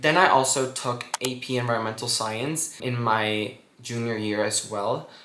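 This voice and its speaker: Rather slow male speech amid audible room echo and clear background noise. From Guatemala. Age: 20s. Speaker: student vlogger. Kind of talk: casual vlog advice.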